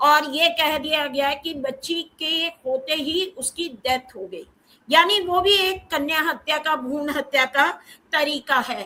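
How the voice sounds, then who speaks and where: This woman's raised, projected voice sits high in pitch, with a bright, sharp tone and ordinary pitch variation. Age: 60s. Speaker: professor. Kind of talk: panel discussion talk.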